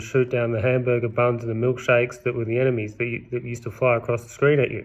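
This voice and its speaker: Here a man with an Australian accent talks at a very fast pace. His intonation is monotone and flat. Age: 30s. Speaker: vlogger. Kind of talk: casual monologue. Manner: rambling, self-correcting.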